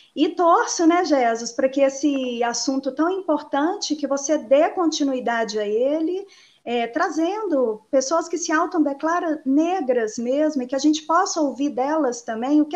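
Delivered fairly slowly, the talking carries lively intonation. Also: woman. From Betim, Minas Gerais, Brazil. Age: 40s. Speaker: teacher and local party politician. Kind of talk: live online debate. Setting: online livestream.

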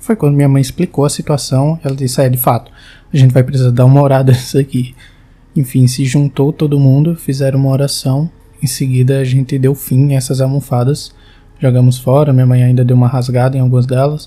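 Fairly quick male speech at a medium pitch, flat and monotone, with music in the background. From Brazil, João Pessoa (Paraíba). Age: 20s. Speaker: listener sharing a personal ghost story. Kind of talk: recorded personal testimony.

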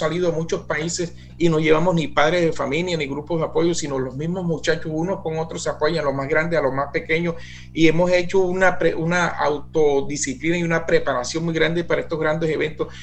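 A man speaks at a fairly quick pace with a fairly high pitch. Music plays in the background, and there is audible room echo. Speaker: director of a youth music band. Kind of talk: radio interview.

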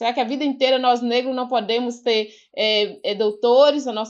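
A woman's high-pitched voice with fairly even intonation against a quiet background. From Vale do Mucuri, Minas Gerais, Brazil. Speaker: quilombola educator. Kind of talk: casual interview conversation.

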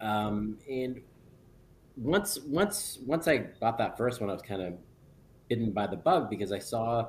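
The voice is a normal speaking voice. It shows ordinary pitch variation. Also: man. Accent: Canadian. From northern Ontario, near Sudbury. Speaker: real estate broker and investor. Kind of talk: podcast interview.

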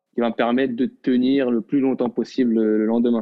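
A man talks at a medium pitch. His intonation stays monotone and flat. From Morocco, Casablanca. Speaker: professional footballer. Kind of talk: casual chat. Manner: halting, many repetitions.

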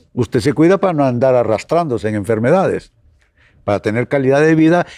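A man talks at a medium pitch with a dark, mellow tone and lively intonation. The sound is dry and close with no echo, over a quiet background. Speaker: pastor and radio program host. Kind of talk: radio devotional talk. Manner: direct address to listeners.

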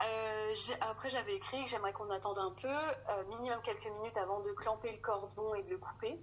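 A woman at a fairly quick pace, her loudness very even throughout. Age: 30s. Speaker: mother sharing birth story. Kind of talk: testimony.

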